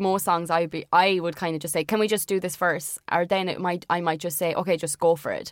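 The pace is moderate. The recording is very clean, with a silent background. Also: woman. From Irish Midlands. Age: 20s. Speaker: musician in a band. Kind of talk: casual interview chat. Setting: studio or sit-down recording. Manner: hesitant, many fillers.

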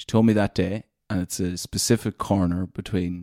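A man with a northwest Irish accent speaks at a very deep, low pitch, his tone dark and mellow and his intonation fairly even. The sound is dry and close with no echo, in a very clean recording against a silent background. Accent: Irish, northwest rural. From Leitrim, Ireland. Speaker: radio presenter. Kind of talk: casual interview chat.

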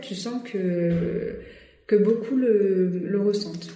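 With audible room echo and noticeable background noise, a woman speaks with ordinary pitch variation. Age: 20s. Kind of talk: casual interview. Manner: halting, many hesitations.

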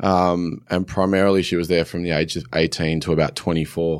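This man has a very deep, low pitch and an Australian accent. His intonation stays monotone and flat. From New South Wales, Australia. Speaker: former rugby league player, fitness entrepreneur. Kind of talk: casual interview. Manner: hesitant, many fillers.

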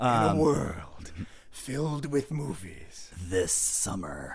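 In a put-on character voice of medium pitch, a man speaks at a very slow pace with very wide pitch swings. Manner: dramatic, rugged.

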